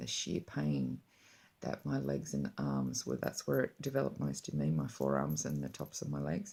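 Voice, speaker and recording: A woman speaks fairly slowly in a very deep, low voice with vocal fry and a dark, mellow tone. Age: 40s. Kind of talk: personal story told to camera.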